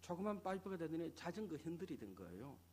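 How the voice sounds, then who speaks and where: A man's high-pitched voice with a strong Gyeongsang accent. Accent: thick Gyeongsang dialect. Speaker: pastor. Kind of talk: sermon.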